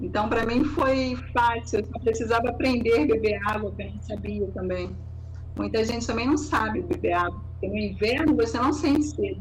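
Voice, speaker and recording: A woman is speaking with noticeable background noise behind her. The room echo is audible. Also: moderate pace. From Rio de Janeiro, Brazil. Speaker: naturopath. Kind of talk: interview, health advice.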